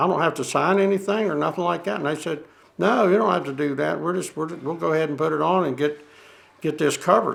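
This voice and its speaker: Speaking very fast with a Southern US accent, a man has a fairly high pitch and vocal fry. His pitch varies in an ordinary way. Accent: Southern US (Georgia). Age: 70s. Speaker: landowner affected by waste spreading. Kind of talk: documentary interview. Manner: halting.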